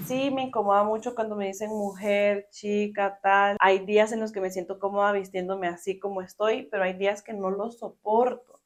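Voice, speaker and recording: A woman's medium-pitched voice with a Costa Rican accent, flat monotone intonation, moderate pace, and hardly any pauses. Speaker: podcast guest. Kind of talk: interview testimony.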